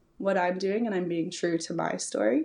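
A woman with a Canadian accent speaks in a normal speaking voice at a medium pitch, with ordinary pitch variation. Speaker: entrepreneur and event founder. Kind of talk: casual interview chat.

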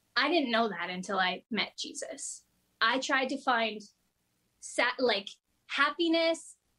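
A woman's high pitch with a bright, sharp tone at a fairly slow pace. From rural eastern Ontario, Canada. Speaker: guest youth speaker. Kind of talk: testimony. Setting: video call.

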